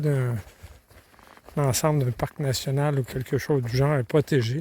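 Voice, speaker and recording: Ordinary pitch variation in a fairly high male voice. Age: 60s. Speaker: long-distance hiker vlogger. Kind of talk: video diary. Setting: outdoors. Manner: halting.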